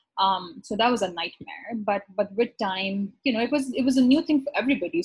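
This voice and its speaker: A woman talks with lively intonation at a moderate pace, her voice somewhat breathy. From Pakistan, Karachi. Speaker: physician. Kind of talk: casual interview.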